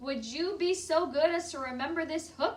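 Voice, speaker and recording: A woman puts on a character voice. It is shrill and extremely high-pitched. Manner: indignant, complaining.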